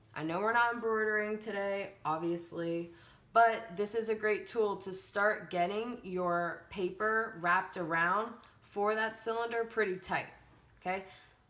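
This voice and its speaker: Audible room echo surrounds a woman who speaks fairly slowly at a medium pitch, her tone bright and sharp and her intonation fairly even. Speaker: elementary art teacher. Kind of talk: tutorial.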